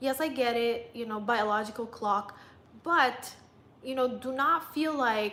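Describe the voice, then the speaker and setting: This woman has a high-pitched voice, speaking at a fairly slow pace with ordinary pitch variation. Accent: non-native. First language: not English. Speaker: lifestyle vlogger and dating coach. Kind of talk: livestream chat. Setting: live stream.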